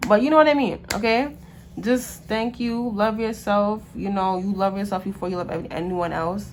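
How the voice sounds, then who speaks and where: A woman speaks at medium pitch and a moderate pace with ordinary pitch variation. Audible room echo surrounds her voice. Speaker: tarot card reader. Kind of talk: casual monologue to camera.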